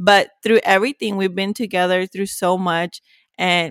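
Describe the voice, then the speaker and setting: The voice comes with a Spanish accent. The sound is dry and close with no echo. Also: woman. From Mexico, Ciudad Juarez. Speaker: podcast co-host, accountant. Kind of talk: casual chat.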